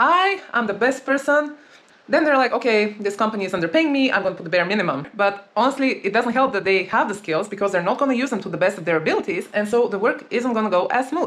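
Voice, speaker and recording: Over noticeable background noise, a woman talks very fast with a non-native accent. Her pitch is fairly high. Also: lively intonation. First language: not English. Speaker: dating and relationship coach. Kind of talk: advice monologue.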